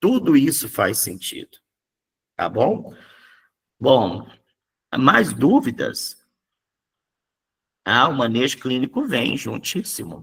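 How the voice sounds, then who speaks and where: A man talks at a very slow pace, stopping often for long pauses. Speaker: psychoanalysis teacher. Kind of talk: lecture. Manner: animated.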